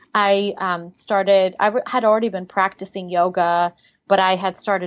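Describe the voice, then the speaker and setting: Monotone, flat intonation at a moderate pace, with a slight Russian accent. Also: woman. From Siberia, Russia, moved to US at twelve. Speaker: life coach. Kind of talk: interview.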